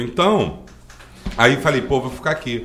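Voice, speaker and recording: Noticeable background noise and audible room echo accompany a man's medium-pitched voice, which moves at a moderate pace with lively intonation. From Brazil, Magé (Rio de Janeiro state). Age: 40s. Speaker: driving school owner and local council candidate. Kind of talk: interview.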